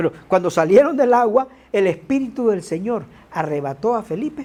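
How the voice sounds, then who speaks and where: The speaker has an animated tone at a moderate pace. Noticeable background noise runs underneath. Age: 60s. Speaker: preacher. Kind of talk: sermon.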